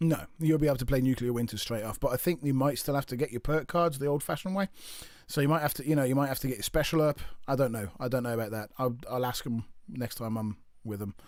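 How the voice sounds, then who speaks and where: A man with a Birmingham accent at a very fast pace, medium pitch, and ordinary pitch variation. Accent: British accent, Birmingham. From English Midlands, Birmingham. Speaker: gaming streamer. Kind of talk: casual chat. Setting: live stream. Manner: halting.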